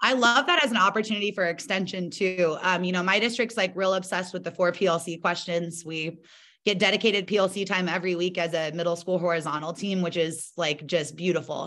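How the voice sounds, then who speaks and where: A woman speaks at a very fast pace with hardly any pauses. Her medium pitch has ordinary variation and a bright, sharp tone. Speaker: middle school art teacher presenting. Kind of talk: conference presentation.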